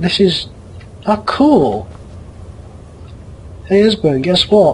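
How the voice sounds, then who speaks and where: The voice is quiet and moves at a very slow pace. Noticeable background noise runs underneath. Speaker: gaming let's play host. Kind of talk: let's play commentary.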